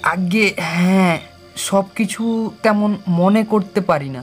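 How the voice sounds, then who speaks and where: Putting on a nasal character voice, a man speaks high for a man at a very slow pace, with faint music in the background. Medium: audio drama.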